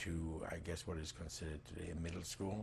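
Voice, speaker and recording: A man speaks with a very deep, low pitch. His voice is somewhat breathy, and the room echo is audible. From Germany (Breslau). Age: 60s. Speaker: Holocaust survivor. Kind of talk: oral history interview. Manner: halting, many fillers.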